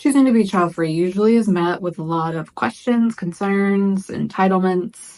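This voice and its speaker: This woman has an unremarkable speaking voice at a medium pitch, with ordinary pitch variation. She talks at a moderate pace with hardly any pauses. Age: 40s. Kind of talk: casual talk to camera.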